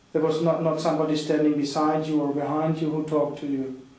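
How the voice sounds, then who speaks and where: In a fairly high voice, a man speaks fairly quickly with monotone, flat intonation. Audible room echo and noticeable background noise fill the recording. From Sweden or Germany. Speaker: lawyer, interviewer. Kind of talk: interview.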